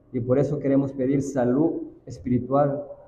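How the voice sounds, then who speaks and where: With audible room echo around him, a man speaks at medium pitch and a fairly slow pace in a monotone, flat intonation. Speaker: church elder. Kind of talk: prayer.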